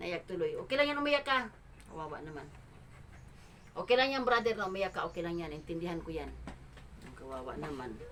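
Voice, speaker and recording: At a fairly quick pace yet with long, frequent pauses, a woman with a fairly low pitch makes very wide pitch swings and big swings in loudness over noticeable background noise. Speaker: charity vlogger. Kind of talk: on-location interview. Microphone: no microphone yet.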